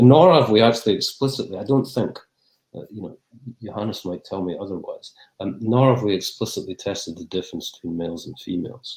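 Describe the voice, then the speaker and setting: A man with a Scottish accent, very fast pace, lively intonation and fairly low pitch. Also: big swings in loudness. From Scotland. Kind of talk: Q&A after academic talk. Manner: halting, many fillers and repeats.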